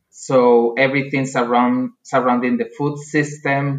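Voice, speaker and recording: A man with a Spanish accent, medium pitch, fairly even intonation and a very slow pace. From Spain. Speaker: agricultural researcher. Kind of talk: interview.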